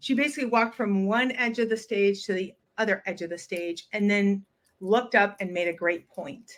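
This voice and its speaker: With an American accent, a woman speaks at a moderate pace in an unremarkable speaking voice. Her pitch is fairly high and shows ordinary variation. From US Midwest. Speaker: communications and public speaking coach. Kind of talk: interview.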